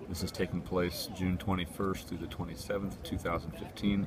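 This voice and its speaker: A man's very deep, low voice at a moderate pace, in a monotone, flat delivery. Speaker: livestream host. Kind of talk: live outdoor commentary. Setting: outdoors at memorial. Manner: soft-spoken.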